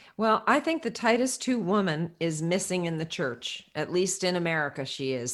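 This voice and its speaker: Over music in the background, a woman talks at a moderate pace and medium pitch with lively intonation. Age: 60s. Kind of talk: interview.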